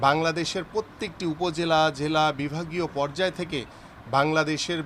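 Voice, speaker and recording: Noticeable background noise sits behind a man whose voice is fairly high in pitch. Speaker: party politician. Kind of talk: speech to press. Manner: halting; formal.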